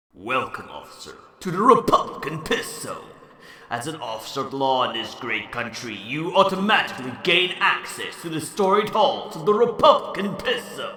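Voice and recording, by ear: A man puts on a cartoonish character voice, pitched high and delivered at a moderate pace. Clear echo hangs around the sound.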